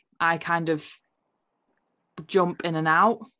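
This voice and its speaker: On a very clean recording with a silent background, a woman's fairly low voice has a bright, sharp tone. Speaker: podcast host. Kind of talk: podcast interview, casual conversation. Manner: enthusiastic.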